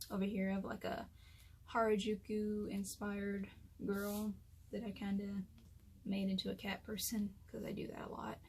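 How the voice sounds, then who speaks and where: At medium pitch and a moderate pace, a somewhat breathy woman speaks in a monotone, flat intonation broken by long, frequent pauses. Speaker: artist. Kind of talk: casual talk to camera.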